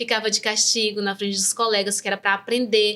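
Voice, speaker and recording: Bright and sharp in tone, a woman is talking. Her pitch is fairly high. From Brazil, Northeast interior. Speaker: neuropsychopedagogue. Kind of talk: interview, personal testimony.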